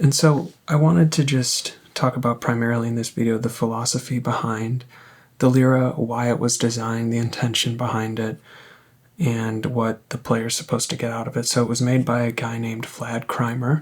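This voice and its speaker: Soft-spoken and relaxed, a man talks in a calm tone at a medium pitch with fairly even intonation. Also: moderate pace. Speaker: synth reviewer. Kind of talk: casual review talk. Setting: at home. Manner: soft-spoken, quiet; relaxed, calm.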